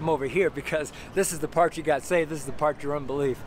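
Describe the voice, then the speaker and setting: This man talks very fast with a fairly high pitch, an American accent and fairly even intonation. The sound is dry with no echo, but there is noticeable background noise. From Denver, Colorado, US. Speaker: street preacher and founding pastor. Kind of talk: sermon preached outdoors on the street. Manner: earnest, preaching delivery. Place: street. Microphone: phone near.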